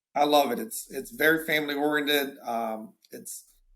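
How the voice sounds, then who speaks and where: Animated and fairly high in pitch, a man talks with a strong Southern accent. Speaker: insurance agency owner. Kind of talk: casual interview. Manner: animated, repeats words often.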